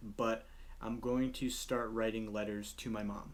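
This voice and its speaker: Audible room echo surrounds this man's voice. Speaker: vlogger. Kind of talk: casual vlog monologue. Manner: fast.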